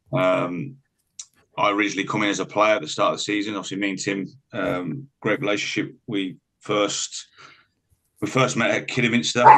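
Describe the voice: Bright and sharp in tone, a man with a fairly low pitch and vocal fry talks at a fairly quick pace. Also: fairly even intonation.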